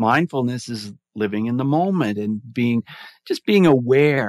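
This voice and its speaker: In a normal speaking voice at medium pitch, a man talks at a fairly slow pace, the sound dry and close with no echo and the background quiet. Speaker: mindfulness advocate and podcaster. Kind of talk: casual interview chat.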